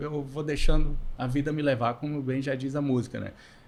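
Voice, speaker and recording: This man has a Minas Gerais accent. He talks at a moderate pace. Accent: mineiro accent noticeable. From Minas Gerais, Montes Claros (northern Minas). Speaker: podcast co-host, financial consultant. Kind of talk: casual chat. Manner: halting, many fillers.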